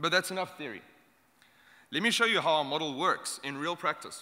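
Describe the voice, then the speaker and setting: In a South African accent, a bright, sharp voice moves at a fairly quick pace on a very clean recording with a silent background. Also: man. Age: young. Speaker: startup incubator founder. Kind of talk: short conference talk.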